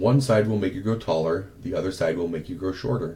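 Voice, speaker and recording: Using a put-on character voice, a man speaks with a raspy, fairly low voice. He moves at a fairly quick pace with ordinary pitch variation. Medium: read story. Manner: curt, easily offended.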